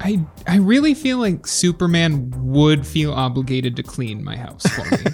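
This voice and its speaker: The speaker has an American accent and talks at a moderate pace. Noticeable background noise is present. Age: 20s. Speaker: podcast contestant. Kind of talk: casual group chat.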